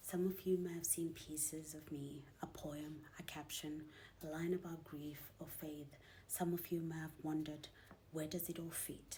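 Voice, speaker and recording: Her voice very deep and low, dark and mellow in tone, a woman speaks fairly slowly in a somewhat breathy, flat monotone. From Zimbabwean-British. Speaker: poet and author. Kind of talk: spoken word poetry.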